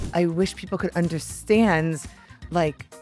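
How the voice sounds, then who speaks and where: Music plays in the background as a woman with a fairly low pitch speaks at a moderate pace with fairly even intonation. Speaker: podcast host. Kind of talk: interview questions.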